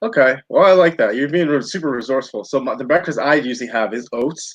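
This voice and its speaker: Here is a man with an enthusiastic tone and a fairly high pitch. He talks at a very fast pace with ordinary pitch variation. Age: 30s. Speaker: health and fitness coach. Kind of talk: interview. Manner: casual, enthusiastic.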